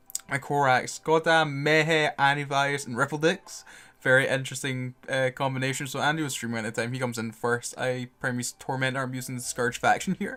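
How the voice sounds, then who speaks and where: Over a silent background in a very clean recording, a man speaks quietly at a fairly quick pace, with a bright, sharp tone, fairly even intonation and hardly any pauses. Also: medium pitch for a man. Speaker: gaming video creator. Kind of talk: gameplay commentary. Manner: quieter, mellow.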